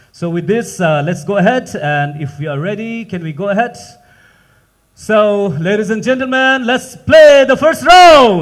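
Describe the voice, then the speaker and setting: With very wide pitch swings, a man speaks in a high pitch at a fairly slow pace. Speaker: quiz master of spelling competition. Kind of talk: live event hosting.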